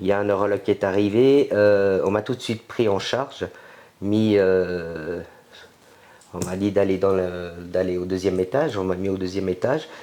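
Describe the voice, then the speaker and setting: A man talks at a medium pace, his fairly low voice rising and falling in a normal way. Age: 50s. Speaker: interviewee with multiple sclerosis. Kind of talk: testimony. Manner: hesitant.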